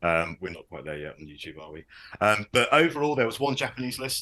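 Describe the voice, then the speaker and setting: A man talks very fast at a medium pitch, with very wide pitch swings. His tone is bright and sharp, and he has a southern English accent. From southern England. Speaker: podcast host, wargaming hobbyist. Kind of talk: casual podcast chat. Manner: hesitant, many fillers.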